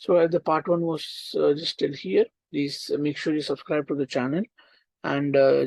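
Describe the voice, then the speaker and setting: In an Indian accent, a man with a fairly high pitch speaks at a moderate pace with fairly even intonation in a dry, close sound with no echo. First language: Hindi. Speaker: online tutor. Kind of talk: casual chat; lecture. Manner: halting.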